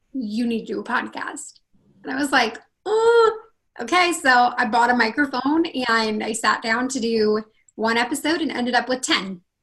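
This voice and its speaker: With a West Coast accent, a woman talks in a high voice at a moderate pace. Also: ordinary pitch variation. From northern California. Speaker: confidence coach. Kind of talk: interview.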